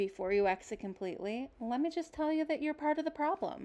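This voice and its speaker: Soft-spoken and with lively intonation, a woman speaks against a quiet background. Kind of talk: casual talk to camera. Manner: quiet, soft-spoken.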